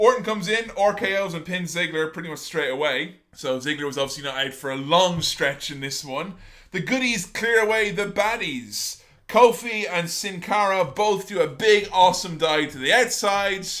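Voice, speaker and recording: The voice sounds animated, bright and sharp, with big swings in loudness at a moderate pace. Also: man, high pitch for a man, lively intonation. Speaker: podcast host. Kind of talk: casual chat. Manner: profane and jokey.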